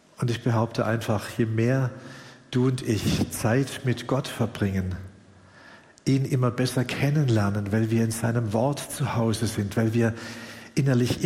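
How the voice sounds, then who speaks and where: A man with a medium-pitched voice speaks in a fairly even intonation, with audible echo from the room. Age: 60s. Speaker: pastor. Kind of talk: sermon. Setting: church service, livestreamed.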